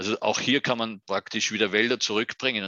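A man is speaking. He has an Austrian accent. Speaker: UN forestry official. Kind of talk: interview. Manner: halting, repeats words.

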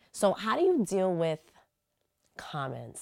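A woman with a New York accent speaks at a fairly slow pace in a dry, close sound with no echo. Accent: New York City. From New York City, the Bronx. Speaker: podcast host. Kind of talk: casual interview chat. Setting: studio.

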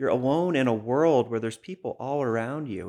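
A man with an American accent, medium pitch and lively intonation, on a very clean recording with a silent background. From Boston, US. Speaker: crisis line specialist. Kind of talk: podcast interview. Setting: in person studio.

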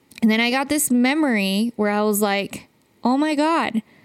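Her high-pitched voice shows ordinary pitch variation as this woman speaks. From Utah, US (immigrant family). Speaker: podcast host, brand strategist and photographer. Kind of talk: personal storytelling monologue. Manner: emotional, conversational.

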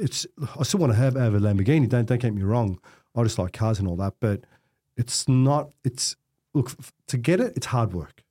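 In a dry, close recording with no echo and a silent background, a man with an Australian accent speaks in a somewhat breathy voice with a dark, mellow tone. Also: long, frequent pauses. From Australia, Melbourne (Coburg). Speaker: real estate director. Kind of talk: casual interview conversation.

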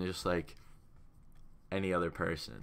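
The man's voice has a bright, sharp tone. He speaks at a moderate pace. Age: young. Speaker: podcast co-host, college student. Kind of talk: casual chat.

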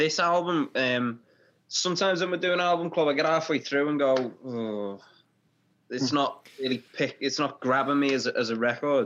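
With a British accent, a man speaks at a moderate pace and a fairly high pitch with ordinary pitch variation. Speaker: podcast host, band member. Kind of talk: casual chat.

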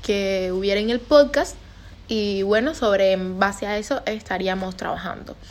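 Ordinary pitch variation marks a woman's fairly slow speech. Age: 20s. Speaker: podcaster and neurobiology student. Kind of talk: casual monologue.

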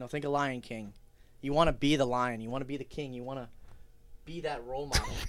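With an American accent and medium pitch, a man speaks at a very fast pace broken by long, frequent pauses, his intonation fairly even while his loudness swings widely. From Wisconsin, Waukesha. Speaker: college student. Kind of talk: casual chat.

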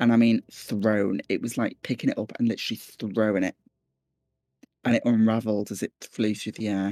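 A man with a Scouse accent speaks in a dark, mellow tone at medium pitch and a moderate pace. His intonation is monotone and flat, with a dry, close sound and no echo. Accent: Scouse (Liverpool English). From Liverpool, northwest England. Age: 20s. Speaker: psychologist. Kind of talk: personal storytelling interview.

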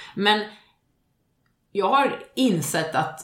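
A woman's voice makes very wide pitch swings, with room echo audible around it. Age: 40s. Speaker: podcast co-host. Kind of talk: casual chat.

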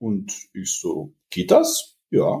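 A man speaks at medium pitch with a dark, mellow tone. His voice is somewhat breathy. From Bavaria, Germany (Regensburg). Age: 30s. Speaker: fitness entrepreneur and coach. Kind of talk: casual podcast interview.

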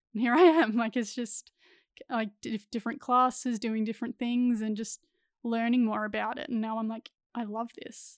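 A woman with a normal speaking voice talks at a moderate pace and fairly high pitch, her intonation fairly even, in a dry, close sound with no echo. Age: 20s. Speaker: actress. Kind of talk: casual chat.

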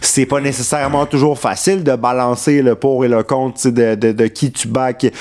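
Noticeable background noise sits under the speech. It moves at a moderate pace with fairly even intonation and hardly any pauses. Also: man, medium pitch for a man. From Quebec, Montreal. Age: 20s. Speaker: political staffer. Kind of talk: casual chat.

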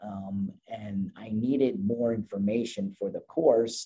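A man's fairly low-pitched voice with a dark, mellow tone. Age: 50s. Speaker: positive psychology coach. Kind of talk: interview.

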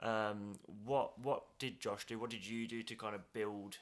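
Speaking at a moderate pace, the man has a medium pitch and a monotone, flat intonation. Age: 30s. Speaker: podcast host. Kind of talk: casual interview chat.

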